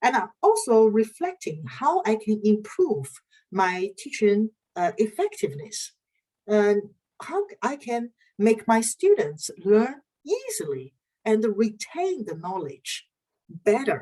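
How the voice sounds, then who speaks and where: Very slow and somewhat breathy, a woman's fairly high voice has a dark, mellow tone and very wide pitch swings. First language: not English or Dutch. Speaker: university lecturer in research methods. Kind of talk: online lecture. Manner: halting, frequent uh fillers.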